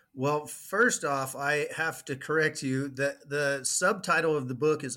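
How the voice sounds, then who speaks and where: A man's fairly high voice has a bright, sharp tone. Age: 30s. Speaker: author. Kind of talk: casual interview.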